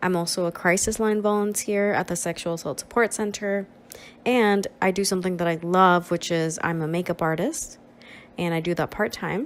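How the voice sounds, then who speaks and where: A woman's medium-pitched voice with a Spanish accent, at a moderate pace, with ordinary pitch variation. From Nicaragua. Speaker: social work student and counselor. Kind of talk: presentation.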